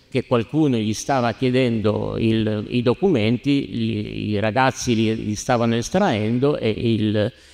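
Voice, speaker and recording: Over a quiet background, a man talks at a very slow pace and medium pitch with hardly any pauses. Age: 60s. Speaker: lawyer; panelist. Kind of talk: heated debate. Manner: animated. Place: church. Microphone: handheld.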